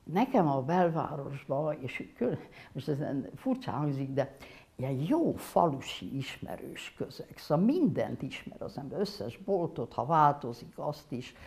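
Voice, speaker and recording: A woman speaks at a very slow pace in a very deep, low voice. Her voice is somewhat breathy. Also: lively intonation. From Hungary. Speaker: painter. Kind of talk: interview. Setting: studio workshop. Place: studio. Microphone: lapel.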